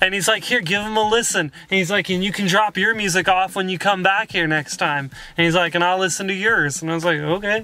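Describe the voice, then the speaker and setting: In a raised, projected voice, a man speaks at a fairly quick pace with fairly even intonation and hardly any pauses, the sound dry with no echo. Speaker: vlogger. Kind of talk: casual vlog chat. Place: car. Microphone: phone near.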